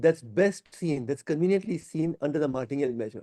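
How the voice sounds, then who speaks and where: A man speaks very fast at a fairly high pitch, with a dark, mellow tone. The sound is dry and close, with no echo. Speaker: professor. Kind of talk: lecture.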